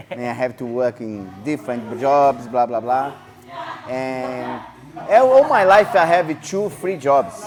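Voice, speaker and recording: With a non-native accent, a man speaks at a fairly slow pace and medium pitch with lively intonation over noticeable background noise. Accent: foreign accent, non-native English. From Brazil (Rio de Janeiro). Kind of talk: casual interview. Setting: martial arts gym. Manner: halting, broken English.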